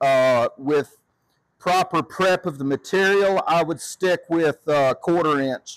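In a dry sound with no echo and a quiet background, a man with a high pitch talks very slowly with fairly even intonation. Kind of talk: tutorial. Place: workshop. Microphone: phone near.

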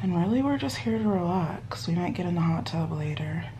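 A woman's voice over noticeable background noise. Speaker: vlogger. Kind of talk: casual vlog chat. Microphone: phone near.

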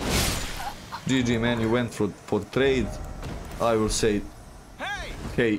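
A man with a Serbian accent over noticeable background noise. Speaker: gaming streamer. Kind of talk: live gameplay commentary. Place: home room.

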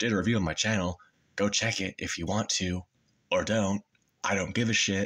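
Over a quiet background, a man speaks at a moderate pace with monotone, flat intonation. He leaves long, frequent pauses. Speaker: YouTuber; vlogger. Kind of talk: casual monologue. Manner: halting with many fillers. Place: home room. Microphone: phone near.

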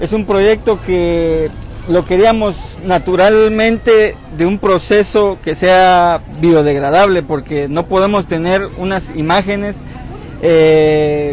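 Speech at a very slow pace with fairly even intonation has a dry sound with no echo and crowd noise in the background. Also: man. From Jacaltenango, Huehuetenango, Guatemala. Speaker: sculptor. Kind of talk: interview. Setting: outdoors at night in town park. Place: street. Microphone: lapel.

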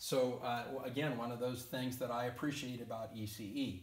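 A man at a moderate pace, with audible room echo. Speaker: motorcycle gear reviewer. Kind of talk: explanatory talk to camera. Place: workshop.

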